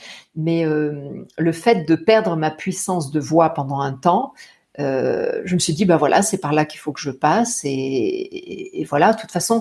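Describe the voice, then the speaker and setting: A woman is speaking. Her pitch swings very widely. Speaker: singer and voice teacher. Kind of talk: interview. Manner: halting.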